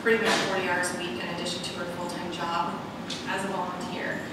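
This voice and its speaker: A woman speaks at a moderate pace. Loud background noise and audible room echo fill the recording. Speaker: city official giving report. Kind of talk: formal meeting report. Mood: pleased, appreciative. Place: hall.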